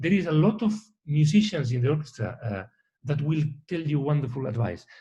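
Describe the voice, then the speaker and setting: A man's somewhat breathy voice with a dark, mellow tone, fairly high in pitch, at a fairly quick pace, with very wide pitch swings. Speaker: orchestra conductor. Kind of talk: interview. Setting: video call. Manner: fast.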